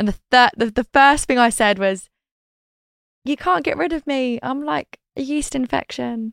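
A woman's high-pitched voice with a British accent, fairly slow, in a dry, close sound with no echo. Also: lively intonation. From Britain. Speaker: reality TV personality. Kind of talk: casual interview chat.

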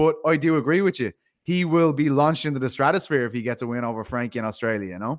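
In a very clean recording with a silent background, a man with an Irish accent talks very fast at a medium pitch with lively intonation. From Ireland. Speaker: MMA podcaster and co-host. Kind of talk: casual chat about MMA.

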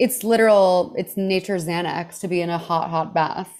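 This woman has a plain, everyday voice, medium in pitch, with an American accent and a moderate pace. The recording is very clean, with a silent background. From Texas, Houston. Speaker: comedian. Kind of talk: casual chat.

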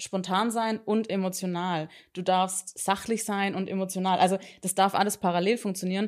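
On a very clean recording with a silent background, a woman speaks at a moderate pace. Her intonation is monotone and flat. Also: medium pitch for a woman. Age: 30s. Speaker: couples therapist. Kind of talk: casual interview.

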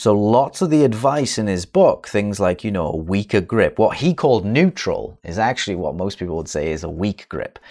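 Hardly pausing, a man with an unremarkable speaking voice talks at a moderate pace and a fairly low pitch. His intonation is lively, and the recording is very clean with a silent background. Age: 30s. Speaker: golf coach and podcast co-host. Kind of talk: casual chat.

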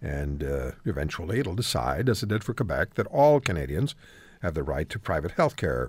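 A very deep, low male voice with vocal fry and very wide pitch swings at a moderate pace, on a very clean recording with a silent background. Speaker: radio talk show host. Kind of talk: radio talk show interview. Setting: radio studio.

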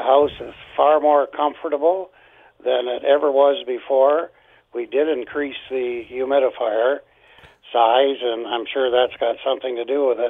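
Using a normal speaking voice, a man talks at a fairly slow pace with medium pitch and fairly even intonation. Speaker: caller. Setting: phone call.

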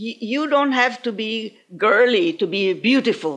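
Vocal fry marks this woman's voice. She speaks at a very slow pace. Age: 80s+. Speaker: retired banker. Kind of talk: personal story.

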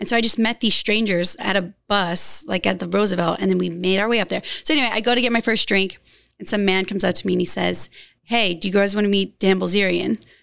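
Speaking at a very fast pace with an American accent, this voice carries vocal fry and fairly even intonation. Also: woman, medium pitch for a woman. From US South, rural Louisiana. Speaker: model and influencer. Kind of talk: casual interview chat.

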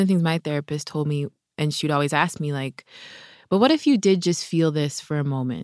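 In a very clean recording with a silent background and a dry, close sound with no echo, a woman uses a plain, everyday voice with ordinary pitch variation. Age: 30s. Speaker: meditation teacher. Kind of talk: guided meditation; casual chat. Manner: slow.

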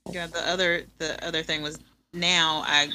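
In a very clean recording with a silent background, a woman speaks fairly slowly in a very deep, low voice with a bright, sharp tone and monotone, flat intonation. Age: 30s. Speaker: homeschooling mother and doula. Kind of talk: casual interview, birth story.

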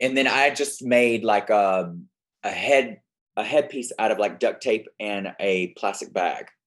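With a Southern US accent, a man at medium pitch talks at a fairly slow pace with ordinary pitch variation against a quiet background. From Alabama. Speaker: drag queen guest co-host. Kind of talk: casual chat.

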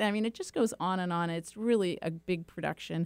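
A woman with an American accent, at a moderate pace. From California, Silicon Valley. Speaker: nonprofit executive director. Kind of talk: interview.

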